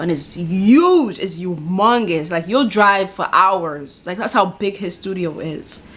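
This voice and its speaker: Speaking fairly slowly with an American accent, a woman has a normal speaking voice at a medium pitch with ordinary pitch variation. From New York. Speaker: YouTube reaction video host. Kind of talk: casual reaction commentary.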